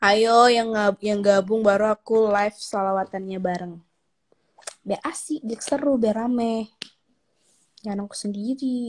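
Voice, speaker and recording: A woman's fairly high pitch at a fairly slow pace, with fairly even intonation, long, frequent pauses and big swings in loudness. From Aceh, Indonesia. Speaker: social media celebrity; livestream host. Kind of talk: casual livestream chat with viewers. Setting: live video stream from home. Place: home room. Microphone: phone near.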